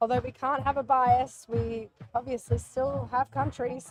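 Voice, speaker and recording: Here a woman is talking. She has an Australian accent. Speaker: livestream commentator. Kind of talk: live commentary.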